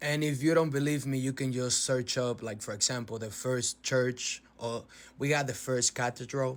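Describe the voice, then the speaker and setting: With a Spanish accent, this man talks at a moderate pace and keeps his intonation fairly even. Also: medium pitch for a man. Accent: Spanish accent, noticeable. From Dominican Republic. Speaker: social media commentator. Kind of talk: casual explanation to camera.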